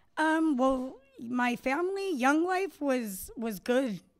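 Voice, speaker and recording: A woman speaks at a fairly slow pace. The recording is very clean and the background is silent. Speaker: recovering addict sharing her story. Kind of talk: personal testimony.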